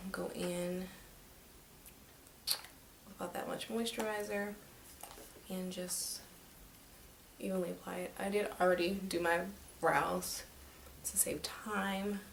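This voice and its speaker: At a very slow pace, a woman speaks quietly in a medium pitch with fairly even intonation, with audible room echo and noticeable background noise. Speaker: beauty vlogger. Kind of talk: makeup tutorial. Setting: home at night. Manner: speaking quietly; casual, filler-heavy.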